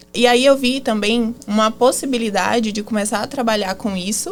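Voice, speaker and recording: Speaking at a moderate pace, the woman has a fairly high pitch and ordinary pitch variation. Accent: Bahian. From Bahia, Brazil. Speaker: marketing agency founder, former lawyer. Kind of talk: podcast interview.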